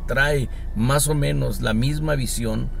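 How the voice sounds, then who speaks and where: Male voice with audible room echo and noticeable background noise. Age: 60s. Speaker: retired church bishop. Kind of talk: interview.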